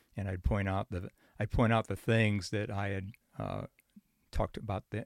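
In a Chicago accent, a man speaks fairly low with vocal fry. His intonation stays fairly even, and the recording is very clean with a silent background. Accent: US Midwestern (Chicago area). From Chicago area and northern Indiana. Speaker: retired psychology professor. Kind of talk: interview conversation.

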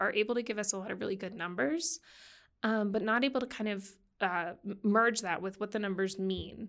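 A woman talks at a fairly quick pace with an American accent, in a normal speaking voice. Her pitch is fairly high, with ordinary variation. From Massachusetts. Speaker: occupational therapy researcher. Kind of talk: interview.

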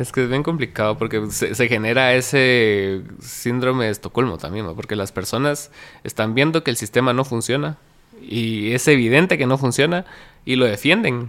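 An ordinary speaking voice from a man, medium in pitch, moderately paced, with ordinary pitch variation. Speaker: podcast host. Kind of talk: casual interview.

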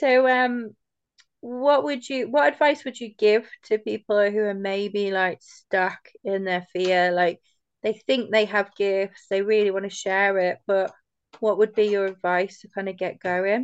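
A woman speaks at a fairly slow pace in an ordinary speaking voice, medium in pitch with ordinary pitch variation, the sound dry and close with no echo over a quiet background. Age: 40s. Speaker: podcast host. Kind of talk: casual conversational interview. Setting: video call. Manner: relaxed, informal, chatty.

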